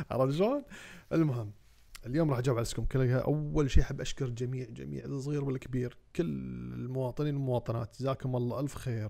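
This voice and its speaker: A man's very fast speech in a dark, mellow tone with fairly even intonation. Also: medium pitch for a man. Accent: Kuwaiti. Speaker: parliamentary candidate. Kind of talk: campaign video address to voters. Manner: hesitant, many fillers.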